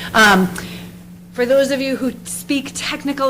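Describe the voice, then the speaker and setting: Noticeable background noise behind a woman talking at a moderate pace. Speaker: nonprofit housing representative. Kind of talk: presentation at town board meeting.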